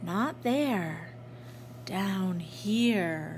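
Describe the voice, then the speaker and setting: With noticeable background noise behind her, a woman does a calm, creaky, put-on character voice at a fairly low pitch. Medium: read story. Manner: calm, slow, hushed.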